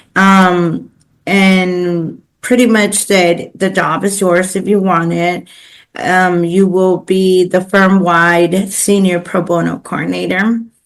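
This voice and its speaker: A woman speaks at a medium pitch, very slowly, with very even loudness and a monotone, flat intonation. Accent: Spanish. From Los Angeles, East LA. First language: Spanish. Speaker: pro bono coordinator, business owner. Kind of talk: podcast interview. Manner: casual with many fillers.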